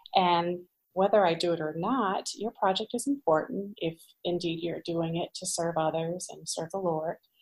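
A woman with an American accent speaks in an unremarkable speaking voice at a moderate pace. Her fairly low pitch shows ordinary variation, and the sound is dry and close with no echo. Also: big swings in loudness. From US Midwest, central Illinois. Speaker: pastor's wife. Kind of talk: interview conversation.

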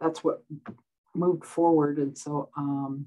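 A woman with a very deep, low pitch speaks in a monotone, flat intonation against a quiet background. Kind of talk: interview answer. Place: office. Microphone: webcam.

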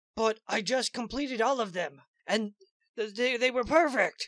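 A female-sounding, cartoonish character voice comes through. It sits at a fairly high pitch. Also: moderate pace. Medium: puppet. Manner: whiny, pleading.

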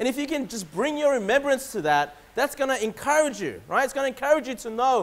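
A man's voice, extremely high in pitch, at a fairly quick pace. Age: 30s. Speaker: pastor. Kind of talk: sermon. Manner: repetitive, halting restarts. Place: church. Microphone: podium.

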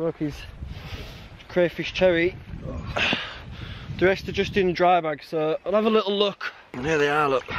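A man's fairly high-pitched voice, fairly even in intonation, at a moderate pace

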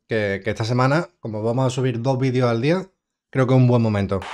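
Against a quiet background, a man talks at a very fast pace. His pitch varies in an ordinary way. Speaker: video reactor, streamer. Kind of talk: casual reaction commentary. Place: home room.

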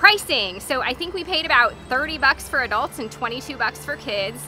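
With faint music in the background, a woman speaks in a raised, projected voice, and the sound is dry with no echo. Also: moderate pace. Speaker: travel vlogger. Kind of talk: casual vlog chat. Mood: cheerful, enthusiastic. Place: street.

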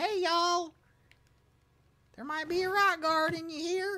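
In a put-on character voice with a Southern US accent, the speaker talks at an extremely high pitch and a fairly slow pace. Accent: Southern American. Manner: playful, drawling.

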